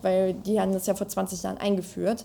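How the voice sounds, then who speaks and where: A woman's medium-pitched, dark, mellow voice at a moderate pace, on a very clean recording with a silent background. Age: 20s. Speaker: politician. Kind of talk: interview.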